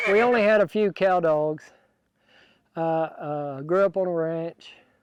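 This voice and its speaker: High for a man, his voice keeps fairly even intonation in a dry, close sound with no echo. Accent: West Texas. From West Texas, Throckmorton. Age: 60s. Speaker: cattle dog handler, rancher. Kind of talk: interview.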